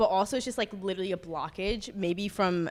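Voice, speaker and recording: A woman with an American accent, noticeable background noise behind her. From Upstate New York. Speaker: podcast co-host. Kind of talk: casual chat. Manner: soft-spoken in groups; filler-heavy, frequent like.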